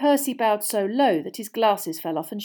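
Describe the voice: A plain reading aloud delivered with lively intonation.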